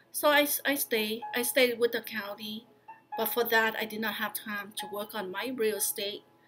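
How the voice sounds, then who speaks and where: A woman with a fairly high voice talks at a moderate pace while music plays behind her. Her intonation stays fairly even. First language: not English. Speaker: county employee and vlogger. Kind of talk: personal vlog talk. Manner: halting, with fillers.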